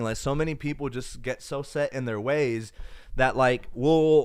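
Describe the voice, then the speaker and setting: A man with a fairly high pitch talks at a moderate pace on a very clean recording with a silent background. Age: 20s. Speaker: tech YouTuber and phone salesperson. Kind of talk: casual livestream chat reading viewer comments. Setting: home livestream in own room. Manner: casual, halting with fillers.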